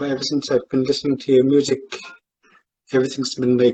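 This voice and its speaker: A man speaks in a Canadian Arctic accent at a moderate pace. His pitch is fairly high and his intonation is flat and monotone. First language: Inuktitut. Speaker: fan and amateur guitarist. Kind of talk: casual live stream chat. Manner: halting.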